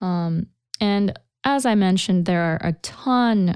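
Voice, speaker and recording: A woman speaks with a Japanese accent and lively intonation at a fairly low pitch. The recording is very clean, with a silent background. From Japan, Kansai. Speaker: Japanese language teacher. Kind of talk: language lesson podcast.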